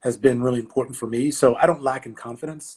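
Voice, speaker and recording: The delivery moves at a very fast pace. Its intonation stays fairly even. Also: man. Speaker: college athletic director. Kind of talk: interview. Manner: loud.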